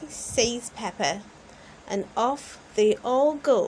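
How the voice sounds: A woman talks at a very slow pace, her pitch fairly high. The intonation is lively and the tone slightly mellow.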